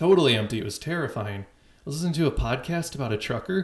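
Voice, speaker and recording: A man speaks with a fairly high pitch and very wide pitch swings. His voice is somewhat breathy. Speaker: call-in show host. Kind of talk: casual chat. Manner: twitchy.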